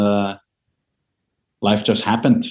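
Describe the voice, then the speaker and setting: This man has an Israeli accent and a dark, mellow tone. He talks at a moderate pace against a quiet background. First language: Hebrew. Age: 50s. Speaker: composer and media consultant. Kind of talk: interview. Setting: video call.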